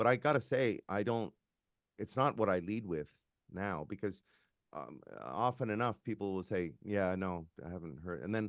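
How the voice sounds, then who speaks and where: A man speaks with a Canadian accent, his fairly low voice showing vocal fry. His intonation is lively, and the background is quiet. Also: moderate pace. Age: 60s. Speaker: musician. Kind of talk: casual chat.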